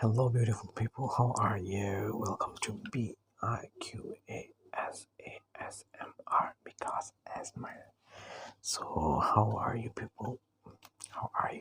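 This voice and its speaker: The voice whispers, with long, frequent pauses. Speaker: ASMR creator. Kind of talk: ASMR soft-spoken relaxation. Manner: soft-spoken.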